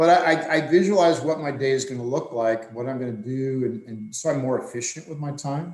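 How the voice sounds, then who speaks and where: In an unremarkable speaking voice, a man talks at a fairly quick pace with hardly any pauses, his fairly high pitch showing ordinary variation while his loudness swings widely. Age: 60s. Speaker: swimming coach. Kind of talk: podcast discussion.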